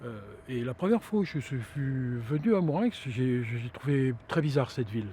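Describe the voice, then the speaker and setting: Somewhat breathy and dark, mellow in tone, the voice moves at a moderate pace with lively intonation. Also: man, medium pitch for a man. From Brittany, France (Saint-Malo). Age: 60s. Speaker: local resident. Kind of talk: interview testimony. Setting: outdoors at a viewpoint. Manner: halting, many hesitations.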